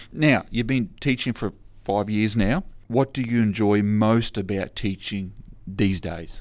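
Speaking at a fairly slow pace, a man with an unremarkable speaking voice keeps a fairly low pitch and ordinary pitch variation. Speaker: podcast host and teacher. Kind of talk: interview.

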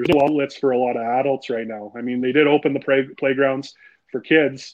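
A man talks at a fairly quick pace with a Canadian accent, his pitch medium. It is a normal speaking voice with fairly even intonation. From Timmins, northern Ontario, Canada. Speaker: golf association director. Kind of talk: casual interview.

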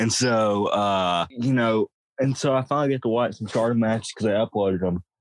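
The recording is very clean, and the background is silent. A man speaks fairly quickly. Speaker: podcast host. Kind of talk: casual podcast chat reviewing wrestling. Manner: animated, excitable.

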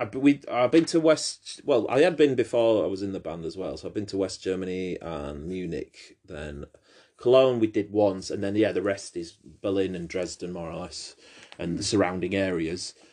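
Against a quiet background, a man with a British accent speaks at a moderate pace with lively intonation and big swings in loudness. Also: fairly low pitch for a man. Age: 30s. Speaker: podcast host. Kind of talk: casual chat.

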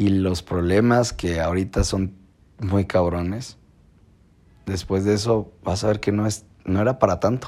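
A man with a Mexican accent speaks at a fairly slow pace. His pitch is fairly low, with fairly even intonation. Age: 20s. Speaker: podcaster. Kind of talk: casual monologue. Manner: informal.

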